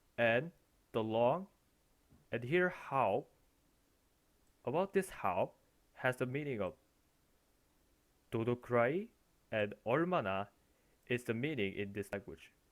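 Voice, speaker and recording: Speaking at a fairly slow pace with lively intonation and long, frequent pauses, this voice comes through in a very clean recording with a silent background. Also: man, medium pitch for a man. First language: not English. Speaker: language teacher. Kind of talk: language lesson explanation. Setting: recorded with headphones.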